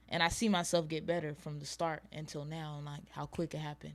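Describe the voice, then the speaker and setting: Music plays in the background as a woman with an American accent talks at a fairly quick pace. Her fairly low pitch carries monotone, flat intonation. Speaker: rapper. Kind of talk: casual interview. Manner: quiet.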